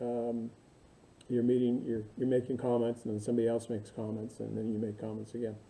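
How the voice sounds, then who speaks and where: A man's voice sits at a medium pitch, with a dark, mellow tone and fairly even intonation. Audible room echo surrounds it. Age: 60s. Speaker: university instructor. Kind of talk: recorded lecture to online students. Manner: casual, halting with many fillers.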